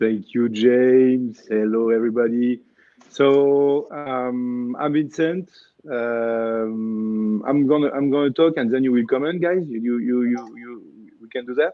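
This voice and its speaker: Speaking at a fairly slow pace with a French accent, a man at medium pitch keeps his intonation fairly even while his loudness swings widely. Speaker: spine surgeon. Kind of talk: panel discussion. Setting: livestream. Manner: halting.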